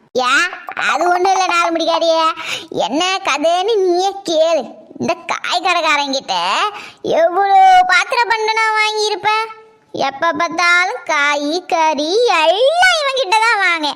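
A squeaky, cartoonish character voice at a fairly slow pace, with ordinary pitch variation. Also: woman, extremely high pitch for a woman. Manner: quarrelsome, complaining.

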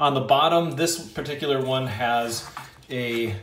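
Audible room echo surrounds the voice. Light background noise sits underneath. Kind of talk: tutorial.

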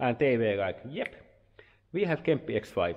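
Male speech, moderately paced, over a quiet background. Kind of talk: casual vlog chat, product review. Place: workshop. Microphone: phone near.

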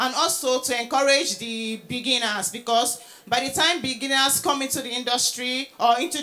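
At a fairly slow pace, a woman talks in a high pitch with fairly even intonation. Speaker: presenter. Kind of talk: lecture. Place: hall. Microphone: handheld.

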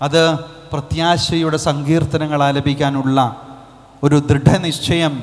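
Noticeable background noise sits behind this man. His fairly high voice stays monotone, with flat intonation. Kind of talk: homily.

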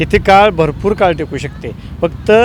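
A man with fairly even intonation, against noticeable background noise. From Kolhapur, Maharashtra, India. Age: 30s. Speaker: local resident. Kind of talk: street interview. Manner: halting.

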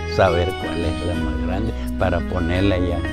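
Clear music plays in the background of this dry recording with no echo, as the voice moves at a very slow pace. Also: man. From northern Mexico. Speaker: water diviner. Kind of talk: interview answer. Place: home room. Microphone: lapel.

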